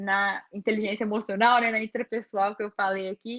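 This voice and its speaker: A woman's normal speaking voice, fairly high in pitch with fairly even intonation, in a dry, close sound with no echo. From interior of Brazil. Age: 20s. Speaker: photographer. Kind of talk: workshop talk with Q&A.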